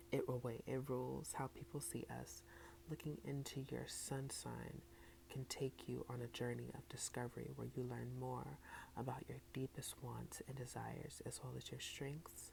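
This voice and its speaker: The speaker is soft-spoken and goes at a fairly slow pace. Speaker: ASMR content creator. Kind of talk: ASMR soft-spoken book reading with tapping and trigger words.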